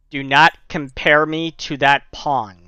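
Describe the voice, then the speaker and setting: Putting on a character voice, a man growls at a fairly high pitch and a fairly slow pace. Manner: menacing, hostile.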